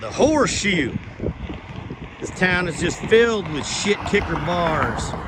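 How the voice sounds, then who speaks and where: Amid audible room echo and noticeable background noise, a man with a slight Southern accent speaks at a very slow pace with long, frequent pauses, a high pitch, very wide pitch swings and big swings in loudness. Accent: slight southern drawl. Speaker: travel vlogger. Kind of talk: walking tour vlog narration.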